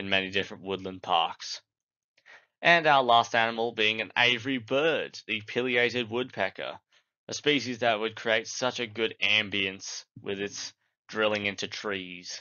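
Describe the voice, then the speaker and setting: With an Australian accent, a man of fairly low pitch speaks at a moderate pace and varies his pitch in an ordinary way. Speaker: gaming YouTuber. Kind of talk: scripted narration.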